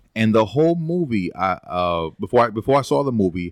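On a very clean recording with a silent background and a dry, close sound with no echo, a man speaks fairly quickly with lively intonation. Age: 30s. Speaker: internet personality guest. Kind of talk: casual chat.

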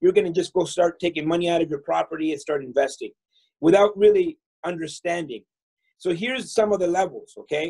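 A man's dark, mellow voice at a high pitch, fairly quick pace and ordinary pitch variation, in a dry, close sound with no echo. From El Salvador. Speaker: real estate investor and entrepreneur. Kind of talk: casual interview.

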